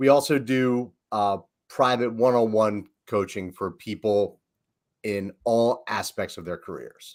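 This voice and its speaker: A man's medium-pitched voice with a Philadelphia accent, fairly slow, with big swings in loudness, on a very clean recording with a silent background. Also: ordinary pitch variation. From Philadelphia, US. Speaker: leadership coach, business founder. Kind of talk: casual podcast conversation.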